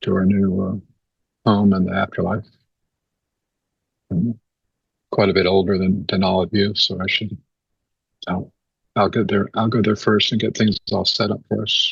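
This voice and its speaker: A man with a fairly low pitch speaks at a moderate pace in monotone, flat intonation, somewhat breathy, with long, frequent pauses. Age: 70s. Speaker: spiritual teacher. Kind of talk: spiritual talk. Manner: halting.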